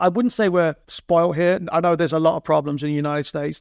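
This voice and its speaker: Against a quiet background, someone with a London accent talks at a very fast pace in a dry, close sound with no echo. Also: man. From North London, England. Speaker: drummer turned account executive. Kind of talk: interview conversation.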